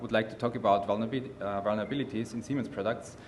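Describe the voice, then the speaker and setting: A man with a German accent, medium pitch and fairly even intonation, in audible room echo. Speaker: company security representative. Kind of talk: conference remarks. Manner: halting, many fillers.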